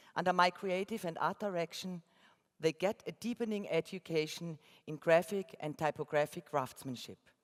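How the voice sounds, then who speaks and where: A woman with an Austrian accent speaks at a moderate pace in a fairly low pitch with ordinary pitch variation. The recording is very clean, dry and close, with a silent background and no echo. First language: German. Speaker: graphic designer. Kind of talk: keynote talk read from script. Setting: conference stage with audience. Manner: reading aloud, careful.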